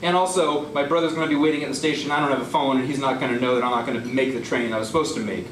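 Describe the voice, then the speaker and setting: There is noticeable background noise as a man speaks, his pitch rising and falling in an ordinary way. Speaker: poet. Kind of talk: live story slam performance. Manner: casual, humorous.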